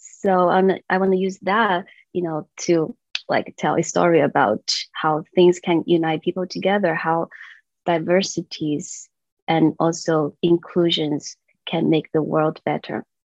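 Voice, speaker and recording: A woman speaks at a fairly slow pace and a fairly low pitch with fairly even intonation, in a dry, close recording with no echo and a quiet background. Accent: Chinese. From China, moved to US at 15. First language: Chinese. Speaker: children's songwriter and voice teacher. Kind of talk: interview chat. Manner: halting, many fillers.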